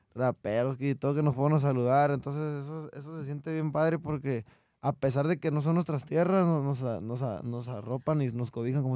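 Over a quiet background, a man with a dark, mellow tone talks at a fairly quick pace with hardly any pauses and ordinary pitch variation, in a dry sound with no echo. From Mexico, Coahuila. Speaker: regional Mexican singer; guest. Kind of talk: interview. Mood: relaxed, grateful. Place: studio. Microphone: studio mic.

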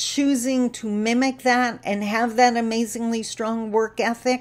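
Her voice is high in pitch. This woman speaks at a very slow pace. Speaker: speaker, trainer. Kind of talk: casual vlog talk on a social topic. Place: home room. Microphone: webcam.

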